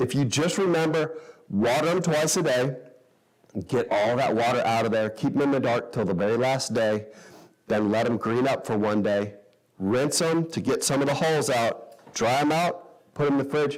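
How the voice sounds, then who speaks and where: A man with an American accent speaks at a medium pitch. His pitch varies in an ordinary way and his loudness stays very even. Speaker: sprouting enthusiast and class teacher. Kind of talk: workshop talk with audience Q&A. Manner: fast.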